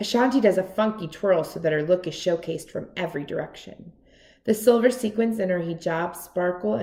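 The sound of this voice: What you hear is an unforced reading voice.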